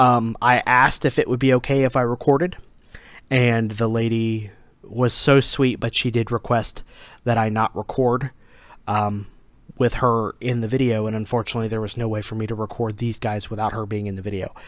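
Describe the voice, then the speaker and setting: A man speaks at a moderate pace with fairly even intonation. The sound is dry with no echo, and the background is quiet. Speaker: toy collector vlogger. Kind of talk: casual vlog chat. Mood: apologetic, explanatory. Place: home room. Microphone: headset.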